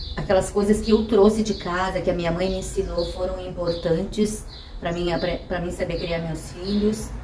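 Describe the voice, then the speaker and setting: Noticeable background noise and audible room echo surround the voice. A woman speaks at a fairly slow pace. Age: 60s. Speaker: mother interviewed about motherhood. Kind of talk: personal testimony.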